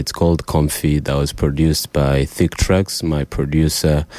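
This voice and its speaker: Very deep, low male voice at a fairly slow pace, fairly even intonation, dry and close with no echo, noticeable background noise. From Rwanda. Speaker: singer-songwriter. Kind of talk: radio interview.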